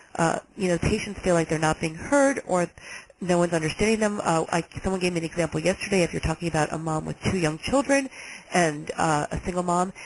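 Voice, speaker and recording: With noticeable background noise behind her, a woman with an American accent and a fairly low pitch talks at a fairly quick pace. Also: ordinary pitch variation. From New York. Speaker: health agency director. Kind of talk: webinar presentation. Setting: webinar. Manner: fast.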